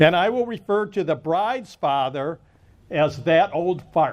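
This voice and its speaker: A man talks loudly at a fairly slow pace. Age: 70s. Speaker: wedding officiant, lawyer. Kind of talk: wedding ceremony speech. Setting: wedding ceremony with audience.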